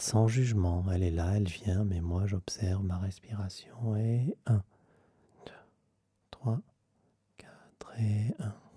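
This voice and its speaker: Soft-spoken and somewhat breathy, a man talks very slowly with long, frequent pauses, a fairly low pitch and ordinary pitch variation. His tone is dark and mellow, and the sound is dry and close with no echo. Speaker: meditation guide; vocal coach. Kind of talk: guided meditation.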